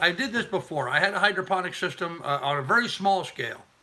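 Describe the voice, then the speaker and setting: Talking at a very fast pace, a man is heard against noticeable background noise. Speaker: YouTuber and homesteader. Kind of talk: live stream chat. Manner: casual and repetitive.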